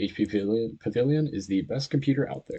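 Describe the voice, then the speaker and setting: Somewhat breathy, a man's medium-pitched voice moves with lively intonation. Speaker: programming tutorial creator. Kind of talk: tutorial. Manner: hesitant, many fillers.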